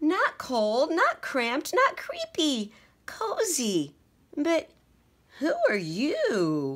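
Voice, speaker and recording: Speaking very slowly in a put-on character voice, a woman sounds high-pitched and squeaky. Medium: read story.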